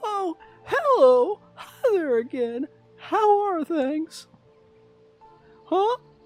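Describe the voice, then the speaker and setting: With faint music in the background, a man performs a squeaky, put-on character voice. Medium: game stream.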